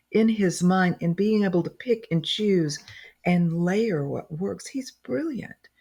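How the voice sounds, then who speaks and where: A woman speaks at a moderate pace, somewhat breathy, with a dark, mellow tone and lively intonation. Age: 60s. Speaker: medical intuitive and health technology executive. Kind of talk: podcast interview.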